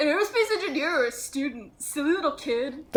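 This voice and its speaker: Someone performs a put-on character voice at a high pitch and a fairly quick pace. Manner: mocking, condescending.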